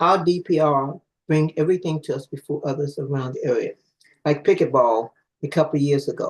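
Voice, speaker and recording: Speech comes at a fairly quick pace with a somewhat breathy quality. The intonation stays fairly even. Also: man. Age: 80s+. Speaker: public witness, community association member. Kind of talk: public testimony. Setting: hybrid council hearing.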